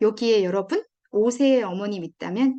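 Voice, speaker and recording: A woman's fairly high-pitched voice carries a dark, mellow tone. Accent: Gyeongsang. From Gyeongsang region, South Korea. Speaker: education expert, parenting lecturer. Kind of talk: lecture.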